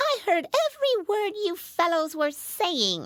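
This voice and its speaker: A squeaky, put-on character voice sits at an extremely high pitch. It moves at a fairly slow pace. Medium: read story.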